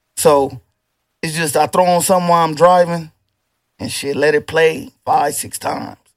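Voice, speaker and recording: In a dry, close sound with no echo, a man speaks at a moderate pace with a fairly high pitch and ordinary pitch variation. It is a normal speaking voice, with big swings in loudness. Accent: American. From Toledo, Ohio, US Midwest. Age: 30s. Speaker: rapper. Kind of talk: casual chat.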